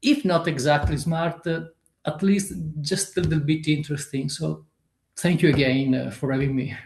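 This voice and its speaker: A man with an Italian accent talks at a moderate pace in a fairly high, somewhat breathy voice with fairly even intonation. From Italy. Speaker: author. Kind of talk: interview. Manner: halting, many fillers.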